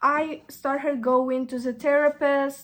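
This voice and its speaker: In a Russian accent, a woman speaks at a very slow pace in a very clean recording with a silent background. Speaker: vlogger. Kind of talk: casual chat. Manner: halting.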